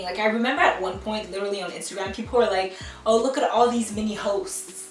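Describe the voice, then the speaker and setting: A woman with a French accent speaks at a fairly high pitch in an animated tone, with music in the background and audible room echo. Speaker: beauty YouTuber. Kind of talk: commentary rant.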